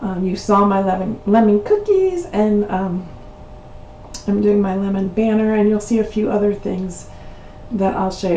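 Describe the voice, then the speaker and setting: A woman with a medium-pitched voice speaks with fairly even intonation over noticeable background noise and audible room echo. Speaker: crafting channel host. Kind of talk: tutorial. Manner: hesitant, many fillers.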